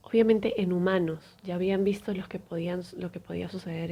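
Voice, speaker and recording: Her dark, mellow tone is somewhat breathy, as this woman speaks at a fairly low pitch and moderate pace with monotone, flat intonation. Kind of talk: sleep story, storytelling narration of a true medical event.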